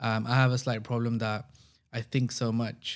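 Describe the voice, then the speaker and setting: In a very clean recording with a silent background, a man at medium pitch speaks at a moderate pace in a flat monotone. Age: 30s. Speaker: entrepreneur and podcast host. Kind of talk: unscripted solo monologue. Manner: casual, off-the-cuff.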